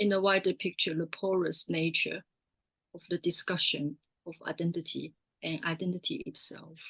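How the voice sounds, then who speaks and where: A woman's fairly low voice with a Mandarin accent, monotone and flat, at a moderate pace, with big swings in loudness and a dry, close sound with no echo. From Taiwan. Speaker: artist filmmaker and lecturer. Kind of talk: panel discussion.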